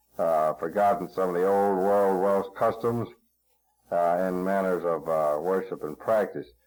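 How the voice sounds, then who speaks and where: A man speaks in a very deep, low pitch. His pace is fairly slow and his intonation monotone and flat. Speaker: oral history interviewer. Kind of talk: interview. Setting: library recording session. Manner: loud; halting.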